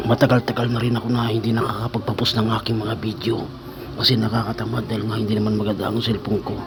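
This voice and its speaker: The delivery is monotone and flat at a very fast pace. Noticeable background noise is present. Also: man, medium pitch for a man. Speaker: vlogger. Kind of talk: casual vlog talk. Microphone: cheap earphone mic, voice quiet.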